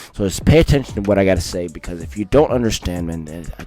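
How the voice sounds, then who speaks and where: A man at a very fast pace, with very wide pitch swings and music in the background. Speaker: scripture reader, religious channel host. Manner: halting, frequent repetitions and self-corrections.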